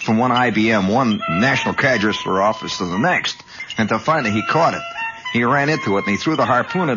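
A man talks at a fairly quick pace. Music plays in the background. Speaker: radio host. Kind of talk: radio monologue storytelling. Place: studio. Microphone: old recording.

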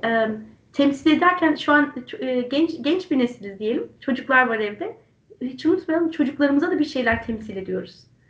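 A woman talks at a fairly quick pace in a high pitch. The room echo is audible. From Turkey. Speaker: interview host. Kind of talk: online interview. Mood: warm, smiling, friendly. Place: home room. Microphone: video call.

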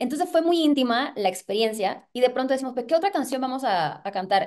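At a fairly quick pace, a woman speaks with lively intonation at a high pitch over a quiet background. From Puerto Rico. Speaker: singer and actress. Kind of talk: interview. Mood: excited, animated. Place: home room. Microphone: video call.

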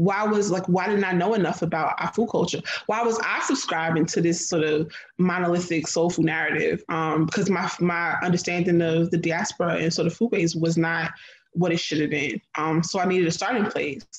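A woman with an American accent speaks at a fairly quick pace in a fairly low pitch, with fairly even intonation and very even loudness. Audible room echo surrounds her voice. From New Jersey, US. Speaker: food writer and chef; guest. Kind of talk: panel discussion. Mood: reflective, thoughtful. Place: home room. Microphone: video call.

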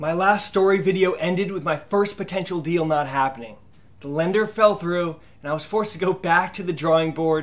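A man with a high pitch talks at a fairly quick pace. His ordinary pitch variation comes over music in the background. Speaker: real estate investor vlogger. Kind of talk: casual vlog narration and tutorial. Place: home room.

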